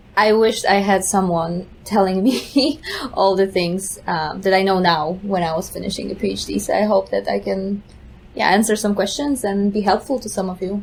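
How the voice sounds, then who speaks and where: Noticeable background noise runs under this woman's voice. She speaks at a medium pitch with ordinary pitch variation. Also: moderate pace. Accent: Polish. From Poland. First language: Polish. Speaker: neuroscience postdoc. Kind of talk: podcast interview.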